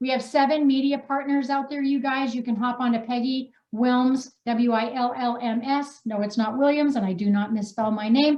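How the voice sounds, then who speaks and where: A loud woman with a high pitch talks at a moderate pace with hardly any pauses. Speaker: wellness coach and author. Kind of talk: reading aloud own story; casual live chat introducing authors. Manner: animated.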